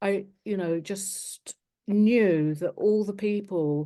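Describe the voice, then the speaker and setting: A woman with a southern English accent speaks in a dark, mellow tone with fairly even intonation. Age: 60s. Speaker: charity founder. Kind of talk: interview. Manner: halting.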